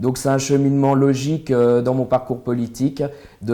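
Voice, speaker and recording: A man's dark, mellow tone at a fairly quick pace, flat and monotone in intonation. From France, Nevers area (Burgundy). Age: 20s. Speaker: local election candidate. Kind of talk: interview. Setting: studio. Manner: hesitant, many fillers.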